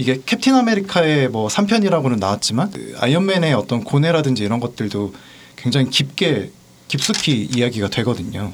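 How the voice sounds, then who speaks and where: With very wide pitch swings, a man speaks at medium pitch and a moderate pace. Noticeable background noise is present. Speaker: podcast guest. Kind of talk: casual chat.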